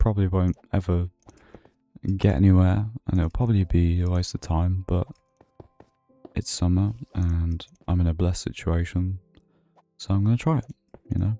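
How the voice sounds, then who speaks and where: A man with a British accent, very deep and low in pitch, at a moderate pace with fairly even intonation, a relaxed, calm tone, long and frequent pauses, and music in the background. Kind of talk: sleep-friendly gaming longplay narration. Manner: soft-spoken, relaxed, calm.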